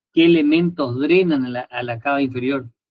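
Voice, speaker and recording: This man has a fairly high pitch. He keeps his intonation fairly even. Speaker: anatomy tutor. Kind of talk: lecture. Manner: fast.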